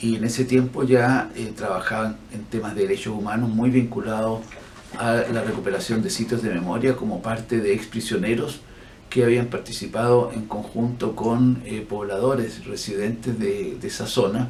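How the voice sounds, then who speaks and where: A man talks at a medium pitch and moderate pace with ordinary pitch variation. Audible room echo and noticeable background noise come through. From Chile. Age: 60s. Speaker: physician and human rights activist. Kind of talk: interview.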